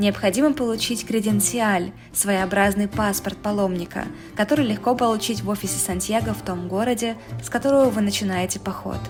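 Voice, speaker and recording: Music plays behind a woman of medium pitch who speaks at a fairly quick pace with fairly even intonation. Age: 20s. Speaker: travel vlogger. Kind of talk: documentary narration.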